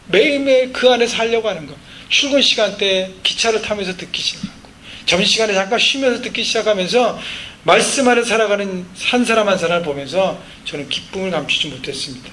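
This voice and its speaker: Over noticeable background noise and audible room echo, a man talks with a high pitch and lively intonation. His voice is raised and projected, and his pace is fairly quick. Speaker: pastor. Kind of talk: sermon.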